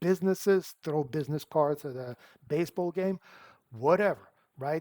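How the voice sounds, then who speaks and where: Recorded very cleanly against a silent background, a man with a non-native accent talks at a fairly high pitch and moderate pace, with ordinary pitch variation. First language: not English. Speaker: car sales coach. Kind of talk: advice talk to camera. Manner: casual, conversational.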